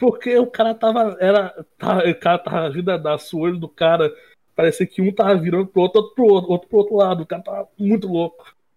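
A man talks at a fairly quick pace in a high pitch. His intonation stays fairly even. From interior of Rio de Janeiro state, Brazil. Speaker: graphic designer at an agency. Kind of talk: casual chat.

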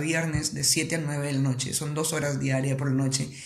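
Speaking with ordinary pitch variation and a somewhat breathy quality, the voice keeps a moderate pace. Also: man. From Peru, Piura. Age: 20s. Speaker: singer. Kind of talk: interview.

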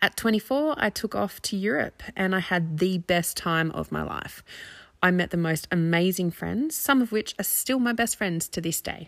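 A woman's medium-pitched voice with an Australian accent, lively in intonation at a moderate pace, in a dry, close sound with no echo and a very clean recording against a silent background. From Australia, near Canberra. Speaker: parenting coach and podcast host. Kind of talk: personal monologue.

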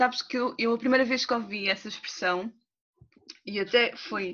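A woman's bright, sharp tone at a moderate pace. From Portugal, Cascais (Angolan family). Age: 30s. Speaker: doula. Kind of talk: personal testimony in interview. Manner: hesitant, many fillers.

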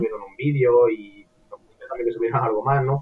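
A man with an unremarkable speaking voice, fairly high in pitch, at a fairly quick pace. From Andalusia, Córdoba. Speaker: psychology student. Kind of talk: casual interview chat.

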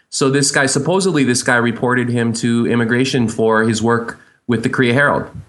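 This is a plain, everyday voice: a man at medium pitch with fairly even intonation. He keeps a fairly quick pace and very even loudness.

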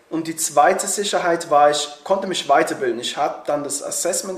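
There is noticeable background noise. The speaker keeps a moderate pace and fairly even intonation. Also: man. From Switzerland. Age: 20s. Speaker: YouTuber and actor. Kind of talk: casual interview. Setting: recording together in Berlin.

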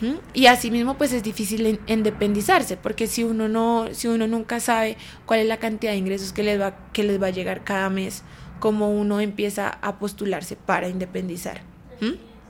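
A woman talks at a moderate pace in a fairly high pitch. It is a plain, everyday voice. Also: fairly even intonation. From Colombia, Bogotá. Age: 20s. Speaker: dancer. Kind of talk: casual chat.

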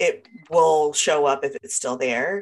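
A woman talks at a fairly slow pace. Her pitch sits fairly low. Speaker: podcast co-host. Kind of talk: casual chat. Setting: video call.

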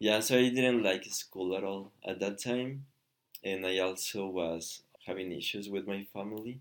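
With a Spanish accent, a man speaks fairly slowly in a fairly low pitch, his intonation fairly even and his pauses long and frequent. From Mexico, Michoacan. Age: 30s. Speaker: Spanish teacher. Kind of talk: casual chat.

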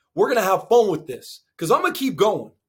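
With an American accent, a man speaks at a high pitch in an animated tone with lively intonation. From Arizona. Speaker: podcast host and football coach. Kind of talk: solo podcast monologue.

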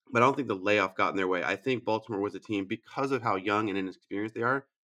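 A man talks very fast with lively intonation, a medium pitch and a bright, sharp tone. The sound is dry and close, with no echo. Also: quiet background. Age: 40s. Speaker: baseball podcast co-host. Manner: blunt, animated, heated.

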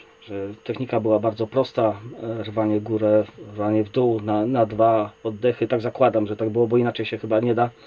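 Noticeable background noise sits behind a man with a fairly low pitch. He talks at a fairly quick pace in a monotone, flat intonation. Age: 40s. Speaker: kettlebell athlete and coach. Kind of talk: casual chat.

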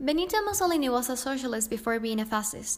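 The speaker is a woman. Her pitch is high. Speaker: history podcast narrator. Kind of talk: scripted narration. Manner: formal, explanatory.

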